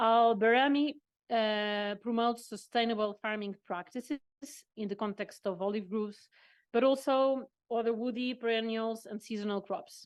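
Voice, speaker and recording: A woman's fairly high voice with fairly even intonation, over a quiet background. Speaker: workshop moderator. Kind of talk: panel moderation. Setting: conference with interpreters. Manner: fast; halting.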